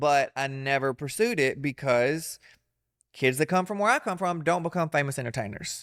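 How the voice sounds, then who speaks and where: A man with a Southern US accent speaks at a fairly high pitch and moderate pace. His intonation is lively, and the recording is very clean with a silent background. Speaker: comedian and entertainer. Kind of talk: interview answer. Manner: casual, candid.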